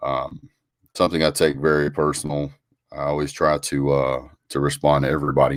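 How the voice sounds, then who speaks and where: Man on a very clean recording with a silent background. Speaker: sports talk show host. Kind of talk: casual live stream chat. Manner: fast, energetic.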